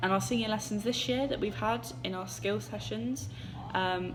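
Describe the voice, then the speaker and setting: The woman keeps a moderate pace, her words carrying audible room echo over noticeable background noise. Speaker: drama student. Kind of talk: self-reflection monologue. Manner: hesitant, with fillers.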